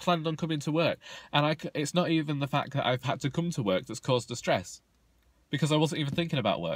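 Talking at a very fast pace with vocal fry, a man shows ordinary pitch variation in a dry recording with no echo. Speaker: vlogger. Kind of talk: casual vlog chat. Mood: frustrated, venting about insomnia. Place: car. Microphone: phone near.

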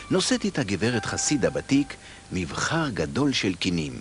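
Music plays in the background as a man speaks at a moderate pace. His pitch swings very widely, and the sound is dry with no echo. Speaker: narrator. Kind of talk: cartoon narration. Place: studio. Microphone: studio mic. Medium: dub.

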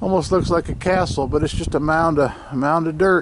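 Noticeable background noise behind a man's dry voice with no echo. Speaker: travel vlogger. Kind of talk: casual vlog narration. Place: open country. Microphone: phone near.

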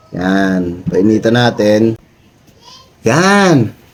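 An animated tone against noticeable background noise. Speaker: DIY video creator. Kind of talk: tutorial. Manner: casual, animated.

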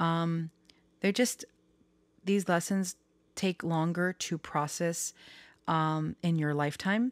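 On a very clean recording with a silent background and a dry, close sound free of echo, a woman with a fairly low pitch speaks very slowly in fairly even intonation, pausing long and often. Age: 30s. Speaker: tarot reader and astrology youtuber. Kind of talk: casual vlog monologue. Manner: rambling with many fillers.

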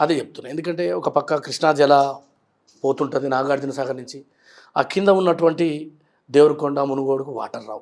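Man with a Telangana accent, fairly high in pitch, fairly even intonation, big swings in loudness. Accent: Telangana Telugu. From Telangana, Nalgonda district. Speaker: politician. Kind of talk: interview.

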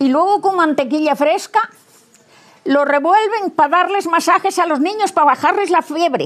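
Pausing long and often, a woman talks at a fairly slow pace in an extremely high pitch. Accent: Asturian. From Asturias, rural western Asturias. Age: 80s+. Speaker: elderly villager. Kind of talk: interview. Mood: relaxed, matter-of-fact. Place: garden. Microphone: lapel.

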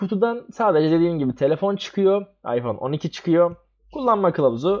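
This man speaks at a fairly quick pace with very wide pitch swings against a quiet background. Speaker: tech podcast co-host, university student. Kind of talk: casual chat.

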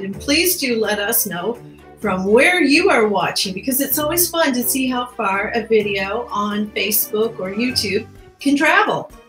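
Faint music plays behind a woman in a room with audible echo. She speaks fairly slowly at a fairly high pitch. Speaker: talk show host. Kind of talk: interview host. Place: home room.

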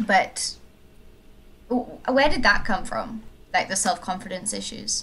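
With vocal fry and a bright, sharp tone, a woman at medium pitch talks at a very slow pace. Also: ordinary pitch variation. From South Africa. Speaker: podcast host. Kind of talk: casual chat. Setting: remote call.

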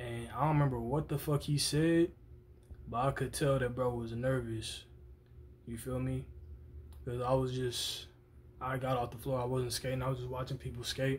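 A somewhat breathy man talks at a moderate pace in a monotone, flat intonation, leaving long, frequent pauses. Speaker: vlogger. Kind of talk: casual vlog chat, storytelling. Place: home room. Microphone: phone near.

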